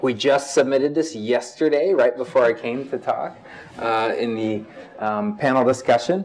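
The voice belongs to a man. Pitch rises and falls to an ordinary degree. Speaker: presenter. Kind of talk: lecture. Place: hall. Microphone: lapel.

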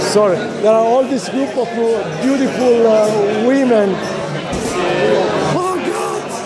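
A man's fairly slow speech, broken by long and frequent pauses, competes with loud background noise. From Italy. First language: Italian. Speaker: vlogger. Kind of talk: casual vlog talk in a bar. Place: street. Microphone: phone near.

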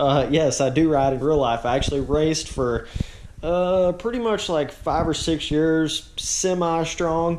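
A man talks fairly slowly, his pitch varying in an ordinary way, with light background noise present. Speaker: motocross video creator. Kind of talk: casual vlog chat. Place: home room. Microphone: phone near.

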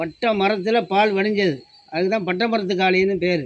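A man speaks with monotone, flat intonation. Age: 70s. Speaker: village elder, temple caretaker. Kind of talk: interview. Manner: halting.

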